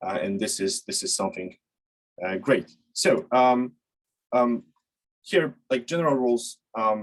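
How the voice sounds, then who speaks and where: A man with a non-native accent speaks at a fairly slow pace with long, frequent pauses. His pitch is medium, and it swings very widely. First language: not English. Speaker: sales development lead and webinar instructor. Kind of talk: webinar presentation. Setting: online webinar. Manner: halting, many fillers.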